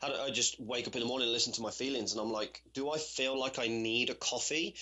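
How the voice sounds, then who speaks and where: Noticeable background noise fills the clip. A man speaks very fast over it. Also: medium pitch for a man, fairly even intonation. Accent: British. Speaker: personal trainer. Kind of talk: podcast interview answer. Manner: casual, conversational.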